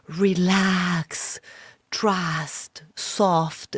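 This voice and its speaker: A woman puts on a character voice with a resonant sound at medium pitch. Her intonation is monotone and flat. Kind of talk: hypnotic, gentle. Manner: soft, calming.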